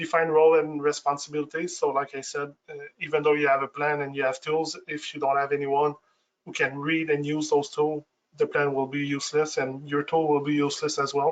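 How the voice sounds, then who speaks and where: Speaking at a fairly quick pace, a man uses a fairly high pitch and monotone, flat intonation. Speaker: IT security expert. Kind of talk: webinar presentation. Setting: online webinar. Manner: fast, with frequent false starts.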